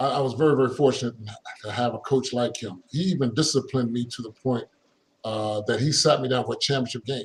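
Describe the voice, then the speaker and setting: Speaking very fast, a man with a medium pitch and a somewhat breathy voice keeps his intonation fairly even. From Philadelphia, US. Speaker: former pro basketball player. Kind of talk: casual interview.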